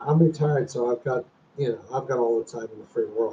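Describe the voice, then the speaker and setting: An ordinary speaking voice at a moderate pace. The intonation is fairly even. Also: man. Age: 60s. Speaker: retiree YouTuber, former hospital software programmer. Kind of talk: casual livestream chat. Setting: livestream at home.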